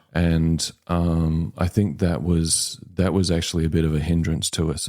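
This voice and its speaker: With a New Zealand accent, a man speaks in a very deep, low pitch and a dark, mellow tone, his intonation monotone and flat. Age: 60s. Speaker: home buyer sharing his story. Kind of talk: podcast interview. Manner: hesitant, many fillers.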